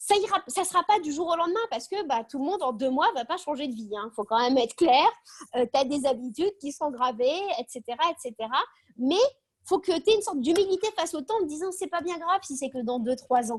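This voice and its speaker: Dry and close with no echo, a woman's high voice swings very widely in pitch, animated in tone and fairly quick. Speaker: speaker on optimism. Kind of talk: video call talk. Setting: video call. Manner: fast.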